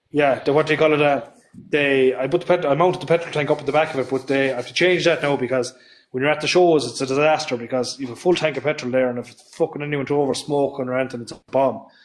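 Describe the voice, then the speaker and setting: Over noticeable background noise, a man with a west of Ireland accent speaks at a very fast pace in a fairly high voice with fairly even intonation. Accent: west of Ireland Irish. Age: 30s. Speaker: tractor builder. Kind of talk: casual chat. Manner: halting.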